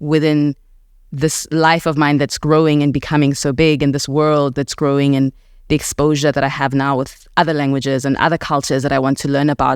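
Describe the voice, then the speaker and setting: A woman's very deep, low voice, monotone and flat, at a fairly quick pace. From South Africa, Alexandra township, Johannesburg. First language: Setswana (heritage; English dominant). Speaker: podcast host and writer. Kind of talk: reflective personal narration. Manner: measured, reflective.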